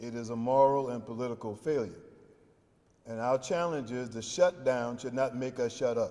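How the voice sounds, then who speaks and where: With an American accent, a man speaks in a dark, mellow tone at a moderate pace. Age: 70s. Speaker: pastor and faith leader. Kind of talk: press conference remarks. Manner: preacherly, emphatic.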